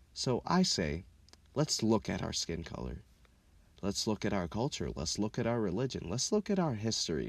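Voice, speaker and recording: With an American accent and a fairly low pitch, a man speaks at a moderate pace with vocal fry and very wide pitch swings, on a very clean recording with a silent background. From Minneapolis, Minnesota (also childhood in Kenya). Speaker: podcast host. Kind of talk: casual monologue. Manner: animated.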